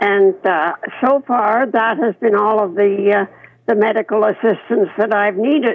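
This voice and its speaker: A woman's unremarkable speaking voice, fairly high in pitch with ordinary pitch variation, fairly slow and very even in loudness. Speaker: retirement home resident. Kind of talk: radio interview.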